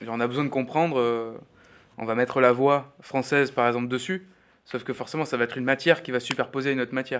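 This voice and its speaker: A man's medium-pitched voice, very fast, with fairly even intonation. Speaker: sound workshop trainer, radio producer. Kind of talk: workshop instruction. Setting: recording studio workshop. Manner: loud.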